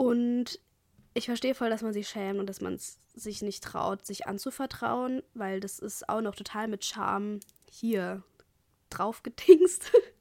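The speech is very slow, with ordinary pitch variation. Its loudness swings widely. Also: woman, fairly high pitch for a woman. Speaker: podcaster. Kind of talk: casual monologue. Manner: casual, filler-heavy.

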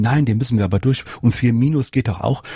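The dry, close sound with no echo carries a man's medium-pitched, dark and mellow, somewhat breathy voice at a moderate pace. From Rhineland-Palatinate, Germany. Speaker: nursing educator and author. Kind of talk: interview.

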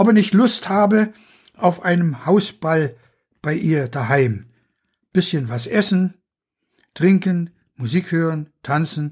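This man speaks at a very slow pace with a high pitch and lively intonation, leaving long, frequent pauses on a very clean recording with a silent background. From Pomerania and Rügen. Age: 80s+. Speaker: author. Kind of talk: reading aloud.

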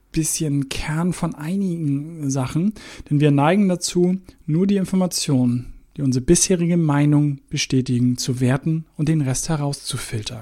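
The voice has a dark, mellow tone and moves at a moderate pace with ordinary pitch variation. The recording is very clean with a silent background. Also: man. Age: 40s. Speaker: podcast host. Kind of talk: solo podcast talk. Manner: casual with fillers.

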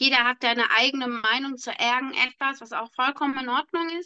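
Projecting a raised voice, a woman speaks at a fairly quick pace in a high pitch with a bright, sharp tone, the sound dry and close with no echo. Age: 30s. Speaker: podcast co-host. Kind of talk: casual chat.

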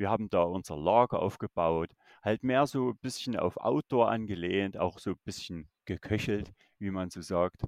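A man's fairly low voice with ordinary pitch variation, a dry, close sound with no echo, and a quiet background. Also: moderate pace. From Saxony, Germany. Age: 30s. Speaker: YouTuber exploring abandoned places and the paranormal. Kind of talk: casual chat.

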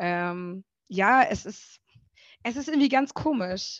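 A woman speaks against a quiet background. The sound is dry and close, with no echo. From German village. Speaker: singer. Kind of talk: casual interview.

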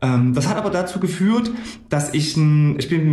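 Speech comes at a fairly slow pace, with audible echo from the room. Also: man. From Gera, Thuringia, eastern Germany. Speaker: financial broker. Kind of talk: interview. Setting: office.

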